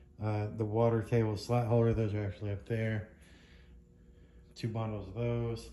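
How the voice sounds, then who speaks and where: A man with a dark, mellow tone talks at a fairly slow pace and sounds somewhat breathy. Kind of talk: casual unboxing commentary. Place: workshop. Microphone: phone near.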